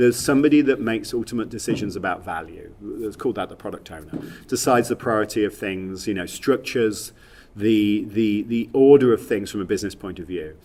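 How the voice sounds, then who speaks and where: A man with a Leicester accent, fairly low in pitch, at a fairly quick pace, with ordinary pitch variation and big swings in loudness. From England, Leicester. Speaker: software industry executive. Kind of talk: podcast interview. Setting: at a conference. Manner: halting, many repetitions and fillers.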